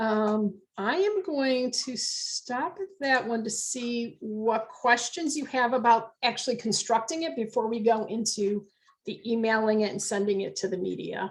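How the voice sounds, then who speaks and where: With a normal speaking voice, a woman of fairly high pitch talks with ordinary pitch variation and hardly any pauses. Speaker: business network founder giving a training. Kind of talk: online educational workshop.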